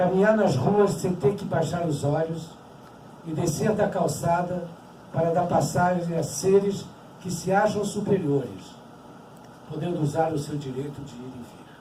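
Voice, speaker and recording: A man speaks at a high pitch and a fairly slow pace, with ordinary pitch variation, big swings in loudness and long, frequent pauses. Audible room echo and noticeable background noise fill the recording. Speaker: Holocaust survivor speaker. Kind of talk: testimony talk.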